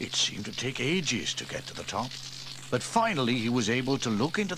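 This recording consists of plain reading aloud.

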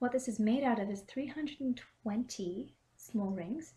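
A woman speaks at a fairly slow pace, somewhat breathy. Her tone is dark and mellow, with ordinary pitch variation. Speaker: cosplayer. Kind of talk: craft tutorial to camera. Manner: casual, hesitant.

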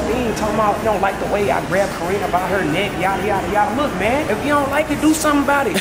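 Loud background noise runs under the speech. It goes at a very fast pace with hardly any pauses. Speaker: vlogger. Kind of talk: casual vlog chat. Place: shop. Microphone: phone near.

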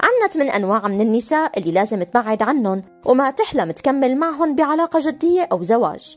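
A woman with a Levantine accent speaks at a high pitch with very wide pitch swings and very even loudness. She leaves hardly any pauses, and music plays in the background. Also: fairly quick pace. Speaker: voice-over narrator. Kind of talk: explainer narration addressed to young men on relationships.

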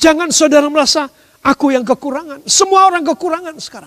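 A man at an extremely high pitch and a very fast pace, with ordinary pitch variation and a quiet background. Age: 60s. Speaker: pastor. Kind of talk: sermon. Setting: church service, live streamed. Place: church.

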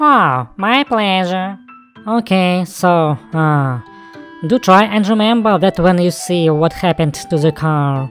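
Over faint music in the background, a man does a cartoonish character voice, slow in pace and high in pitch, with lively intonation and a clear, smooth, fairly bright tone.

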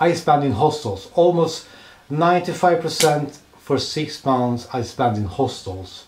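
A man speaks in a Swedish accent at a very slow pace, somewhat breathy. His intonation is lively. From Sweden. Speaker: travel vlogger. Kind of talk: travel vlog narration. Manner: halting. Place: home room. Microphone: handheld.

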